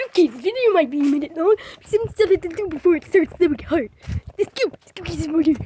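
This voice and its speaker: At a very fast pace, a cartoonish character voice chatters at an extremely high pitch. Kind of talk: puppet video talk to camera. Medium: puppet.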